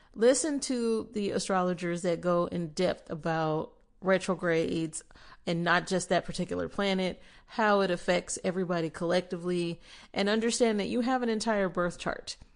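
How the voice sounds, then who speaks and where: A woman speaks in an ordinary speaking voice at medium pitch. Her pace is moderate, her pitch variation ordinary, and the background quiet. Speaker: podcast host; spiritual practitioner. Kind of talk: spiritual podcast talk.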